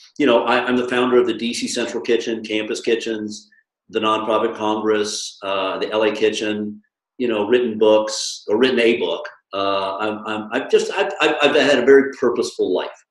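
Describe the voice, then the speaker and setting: A man with an American accent talks at a moderate pace and a medium pitch. Audible room echo surrounds his voice. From US. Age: 60s. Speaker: nonprofit founder. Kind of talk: interview conversation. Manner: casual, animated.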